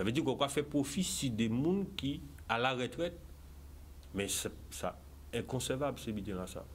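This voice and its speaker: A man with a Guadeloupean accent and medium pitch talks at a fairly slow pace, with very wide pitch swings and vocal fry. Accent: Guadeloupean French with Creole. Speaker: political candidate. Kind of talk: TV interview. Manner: animated.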